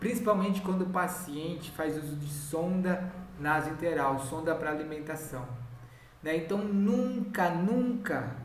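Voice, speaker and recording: In a room with audible echo and noticeable background noise, a man talks at a fairly slow pace in a high pitch with ordinary pitch variation. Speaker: home care nurse supervisor trainer. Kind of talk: training lecture.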